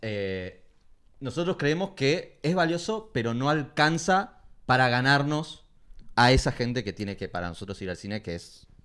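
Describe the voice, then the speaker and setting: Against a quiet background, the speaker goes at a fairly slow pace with very wide pitch swings. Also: man. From Corrientes, Argentina. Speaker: film collective member; guest. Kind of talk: casual interview. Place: home room. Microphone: handheld.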